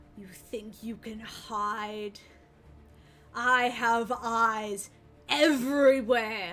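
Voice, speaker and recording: A woman whispers in a put-on character voice at a very slow pace, with long, frequent pauses. Music plays in the background. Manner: nasty whisper.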